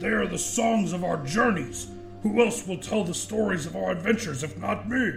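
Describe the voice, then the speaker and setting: Over clear music in the background, a man puts on a raspy, high-pitched character voice at a moderate pace. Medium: read story.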